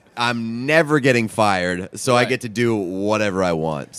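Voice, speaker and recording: Lively intonation marks this man's speech at a moderate pace. Noticeable background noise is present. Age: 20s. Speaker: podcast co-host.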